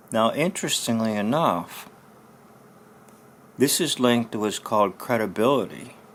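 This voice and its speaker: Pausing long and often, a man speaks at a medium pitch with ordinary pitch variation. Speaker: pastor and former speech teacher. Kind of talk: tutorial. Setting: solo to camera. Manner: slow.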